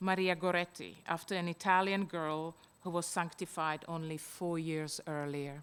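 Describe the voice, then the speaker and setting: An unremarkable speaking voice with fairly even intonation comes through on a very clean recording with a silent background. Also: woman. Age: 60s. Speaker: event participant reading personal text. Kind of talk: reading aloud a personal essay.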